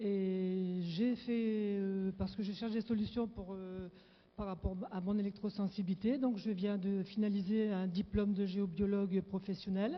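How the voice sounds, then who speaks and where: Somewhat breathy and flat in intonation, a woman speaks at a medium pitch and a fairly slow pace. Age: 60s. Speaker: audience member asking question. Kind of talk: audience question. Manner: halting.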